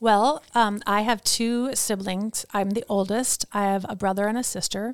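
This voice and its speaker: A woman's normal speaking voice in a medium pitch, with an American accent, fairly even intonation, a moderate pace and a very clean recording over a silent background. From US Midwest, Wisconsin. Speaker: photographer and designer. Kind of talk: casual interview. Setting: studio.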